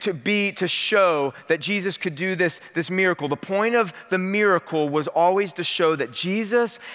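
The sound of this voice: An unforced reading voice, its pitch shifting a normal amount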